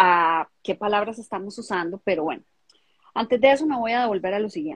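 A somewhat breathy woman speaks at a moderate pace with lively intonation. The sound is dry and close, with no echo. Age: 50s. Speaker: emotional coach for women. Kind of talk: casual chat. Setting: video livestream.

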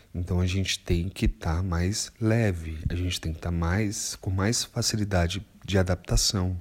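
Over a very clean recording with a silent background, a man with a very deep, low pitch and a somewhat breathy voice talks at a moderate pace with hardly any pauses and fairly even intonation. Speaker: astrologer. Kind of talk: monologue podcast.

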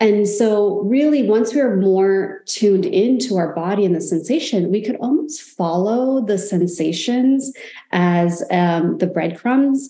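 In an ordinary speaking voice, a woman talks at a fairly slow pace and medium pitch with lively intonation, very even loudness and hardly any pauses. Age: 40s. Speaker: life coach. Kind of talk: casual chat.

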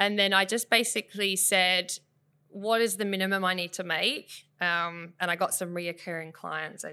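Heard in an Australian accent, the voice has a bright, sharp tone on a very clean recording with a silent background. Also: woman. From South West Western Australia, Bunbury. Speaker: photographer and business owner. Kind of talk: casual interview.

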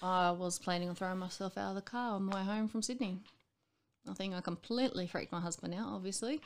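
Speaking very fast with an Australian accent, a woman uses a medium pitch and ordinary pitch variation on a very clean recording with a silent background. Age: 30s. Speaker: mother with bipolar disorder. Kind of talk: casual chat.

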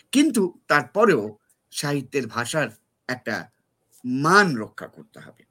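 This man's voice sits fairly high and has a bright, sharp tone. His pitch swings very widely. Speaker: essayist and literary scholar. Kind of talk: panel discussion.

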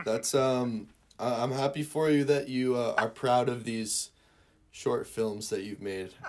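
Speaking very slowly with an American accent, a man uses a medium pitch and fairly even intonation. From Northern Michigan, US Midwest. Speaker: musician and content creator. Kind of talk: casual interview chat. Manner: hesitant, many fillers.

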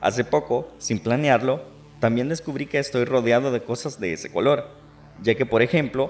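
Delivered at a moderate pace, a normal speaking voice shows ordinary pitch variation. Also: man. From El Salvador. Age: 20s. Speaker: podcast host and radio announcer. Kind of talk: personal monologue.

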